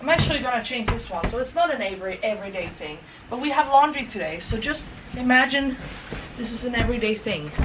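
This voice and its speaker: With noticeable background noise, a woman speaks very fast in a high pitch with lively intonation. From Sweden. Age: 20s. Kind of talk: casual talk to camera. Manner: chatty, casual, rambling.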